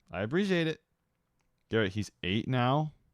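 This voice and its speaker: The man has a playful tone and keeps a moderate pace. The sound is dry and close, with no echo. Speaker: animation streamer. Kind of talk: casual live stream chat. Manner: casual, playful.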